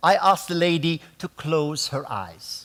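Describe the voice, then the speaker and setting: On a very clean recording with a silent background, a man with a fairly high pitch and ordinary pitch variation speaks at a very slow pace. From Jordan. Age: 70. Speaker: ballroom dancer and dance teacher. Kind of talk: talk.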